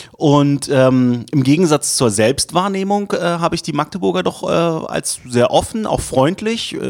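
At a fairly slow pace, the speaker talks in an ordinary speaking voice. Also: man, fairly high pitch for a man. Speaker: city tourism marketing manager. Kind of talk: casual interview chat.

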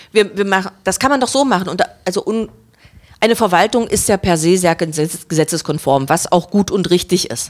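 Speaking at a moderate pace, a woman with an ordinary speaking voice keeps a medium pitch and lively intonation. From Saxony-Anhalt and Berlin, Germany. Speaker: head of a cultural centre. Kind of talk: casual chat.

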